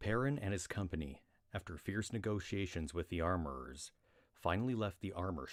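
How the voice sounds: The clip carries a natural reading voice.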